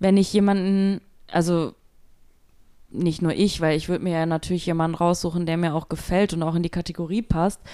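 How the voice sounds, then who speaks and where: The voice has a dark, mellow tone and a monotone, flat delivery broken by long, frequent pauses. The recording is very clean against a silent background. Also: woman, fairly low pitch for a woman, fairly quick pace. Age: 30s. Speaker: podcast co-host, freight forwarding clerk and mother. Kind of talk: casual chat.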